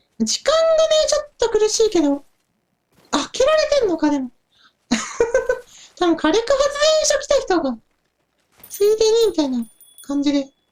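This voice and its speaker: This is a put-on character voice at a moderate pace. Its pitch swings very widely. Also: man. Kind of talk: casual game commentary. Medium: role play.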